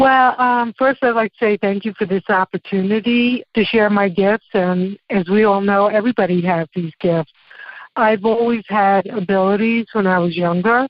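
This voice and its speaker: A woman speaks at a medium pitch with a New York accent. Her pace is moderate, her loudness very even and her intonation fairly even. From New York, Brooklyn. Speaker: psychic and tarot teacher. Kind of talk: interview.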